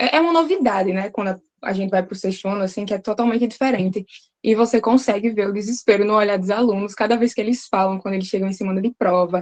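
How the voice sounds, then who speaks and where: This woman talks at a very fast pace. Her voice sits at medium pitch with ordinary pitch variation. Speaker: English teacher, participant. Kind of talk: group discussion contribution.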